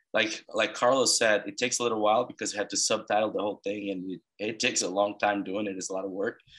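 On a very clean recording with a silent background, a man speaks at a very fast pace with hardly any pauses, a fairly low pitch and fairly even intonation. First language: Portuguese. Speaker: podcast host. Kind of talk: interview; podcast intro.

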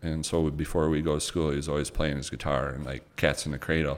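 A man talking at a fairly quick pace. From Michigan, Twining area. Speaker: real estate investment company founder. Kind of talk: casual interview chat. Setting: studio.

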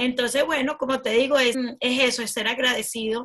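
A woman's fairly high voice has a bright, sharp tone and monotone, flat intonation. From Venezuela. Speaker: branding specialist and entrepreneur. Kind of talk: interview.

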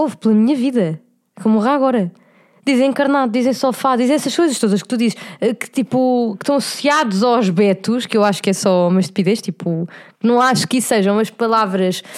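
Speaking at a fairly quick clip with ordinary pitch variation, a woman is heard on a very clean recording against a silent background. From Portugal, Cascais. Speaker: podcast co-host. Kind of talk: casual chat.

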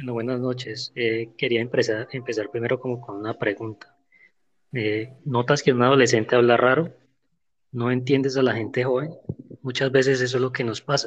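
Flat, monotone intonation marks this man's speech. He keeps to a moderate pace. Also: medium pitch for a man. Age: 30s. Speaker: podcast guest. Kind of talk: prepared talk in discussion.

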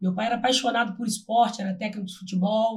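A somewhat breathy woman's voice with a fairly high pitch. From Brazil, Volta Redonda (Rio de Janeiro state). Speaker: physical education teacher. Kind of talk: casual interview chat.

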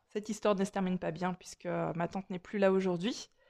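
Recorded very cleanly against a silent background, a woman speaks at a medium pitch with a warm tone. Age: 40s. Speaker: energy healer and holistic therapist. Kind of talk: personal storytelling monologue. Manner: warm, chatty with frequent hesitations.

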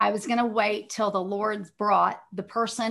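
A woman with a Texan accent speaks in a fairly high pitch with monotone, flat intonation. The background is quiet. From Texas, Dallas. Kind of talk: interview, faith testimony.

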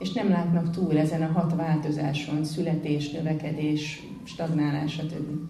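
Speech runs with hardly any pauses over noticeable background noise. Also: moderate pace. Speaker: interpreter. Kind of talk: consecutive interpretation of a lecture. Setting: temple.

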